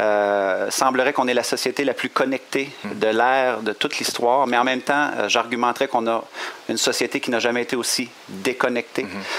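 A man speaks at a medium pitch with a Quebec accent. Noticeable background noise runs beneath his voice. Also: moderate pace. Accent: Québécois French. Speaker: coach and motivational speaker. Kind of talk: interview. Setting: hotel. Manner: energetic.

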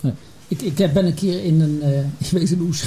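Talking at a moderate pace, a man uses a high pitch with ordinary pitch variation. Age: 60s. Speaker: retired healthcare executive. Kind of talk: panel discussion. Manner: halting.

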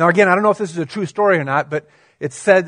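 With ordinary pitch variation, a man talks over a quiet background. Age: 30s. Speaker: pastor. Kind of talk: sermon. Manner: halting.

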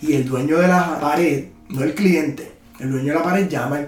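A man speaks at a moderate pace with a Puerto Rican accent, his pitch fairly high and his intonation fairly even. The room echo is audible, and there is noticeable background noise. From Puerto Rico. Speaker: muralist and photographer. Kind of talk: interview.

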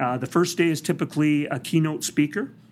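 With an unremarkable speaking voice, a man talks at a fairly quick pace in a fairly high pitch, using lively intonation and a Canadian accent. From British Columbia, Canada. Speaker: police dog trainer. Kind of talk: interview. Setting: conference.

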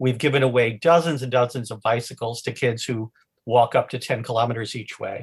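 A man's somewhat breathy, medium-pitched voice at a fairly quick pace with fairly even intonation. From New England. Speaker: lawyer and charity founder. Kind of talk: casual interview.

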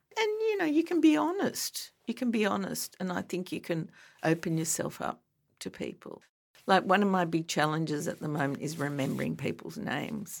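Moderate-paced speech from a woman with an Australian accent. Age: 60s. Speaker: breast cancer advocate. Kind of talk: interview. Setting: studio.

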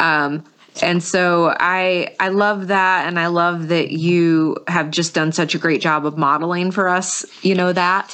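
A woman with an American accent, at a very slow pace and in monotone, flat intonation. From North Carolina, US. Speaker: podcast host. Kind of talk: podcast intro and interview.

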